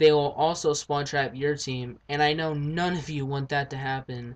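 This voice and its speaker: The voice is flat and monotone at a moderate pace, over a quiet background. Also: man. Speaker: gaming commentator. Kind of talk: gameplay commentary tutorial. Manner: stuttering, halting; partly read from script.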